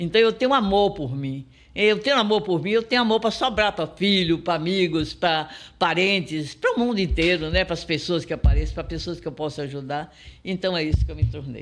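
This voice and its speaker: A man with a high pitch and lively intonation at a moderate pace, music in the background. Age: 70s. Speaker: entrepreneur and business mentor. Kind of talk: interview. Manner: animated.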